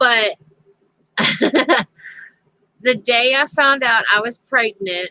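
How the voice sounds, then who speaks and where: Bright and sharp in tone, a woman's fairly high voice in a Southern US accent shows ordinary pitch variation, with a dry, close sound and no echo. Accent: southern twang. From US South, Tennessee. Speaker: crafting livestreamer. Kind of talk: casual chat. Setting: livestream. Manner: halting.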